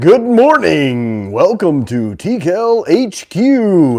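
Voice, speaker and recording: A man performs a put-on character voice pitched high for a man, with very wide pitch swings. He speaks at a very slow pace. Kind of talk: polished radio broadcast style. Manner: smooth, cool, professional.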